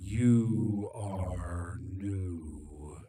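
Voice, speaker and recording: A man's put-on character voice, very deep and low, with a hissing quality. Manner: cold, menacing.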